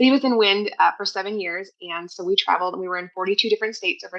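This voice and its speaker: Using a bright, sharp tone, a woman with a South Dakota accent speaks at a medium pitch with fairly even intonation. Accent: South Dakota, long O. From US Midwest, West River South Dakota. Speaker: homeschooling mother, podcast guest. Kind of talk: interview, casual chat. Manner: fast.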